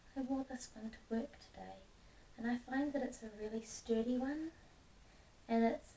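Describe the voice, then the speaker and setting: A soft-spoken woman talks at a moderate pace in a high pitch with fairly even intonation, over noticeable background noise. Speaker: ASMR creator. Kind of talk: ASMR show and tell.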